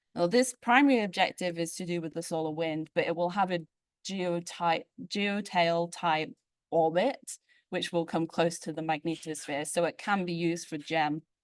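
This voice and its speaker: In a dry, close sound with no echo and a quiet background, a woman with a plain, everyday voice speaks at a moderate pace, her fairly low pitch showing ordinary pitch variation. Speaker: space physicist, postdoctoral researcher. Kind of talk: invited tutorial talk. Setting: conference plenary with audience.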